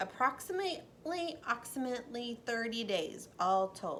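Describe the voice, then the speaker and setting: A woman in a put-on character voice speaks high at a moderate pace over clear background noise. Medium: read story. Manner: repeats words, stutters playfully.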